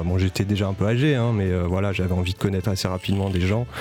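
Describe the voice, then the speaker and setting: The speech has fairly even intonation, with music in the background. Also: man. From Paris. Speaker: jazz pianist and composer. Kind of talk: interview.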